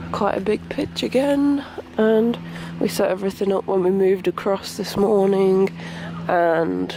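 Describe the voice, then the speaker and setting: Speaking in a British accent at a fairly slow pace, a woman is heard over noticeable background noise. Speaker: vlogger. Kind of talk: travel vlog.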